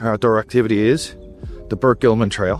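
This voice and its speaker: Over music in the background, a man with an Irish accent speaks at a fairly quick pace and a medium pitch. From Dublin, Ireland. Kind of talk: travel vlog narration.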